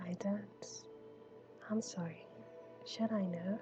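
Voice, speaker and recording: The pace is fairly slow, and music can be heard in the background. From Trinidad. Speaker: vtuber. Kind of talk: improvised storytelling.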